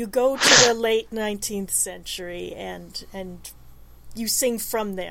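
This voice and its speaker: A woman with an American accent swings widely in loudness over noticeable background noise. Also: fairly slow pace. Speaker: radio co-host and producer. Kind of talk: casual interview.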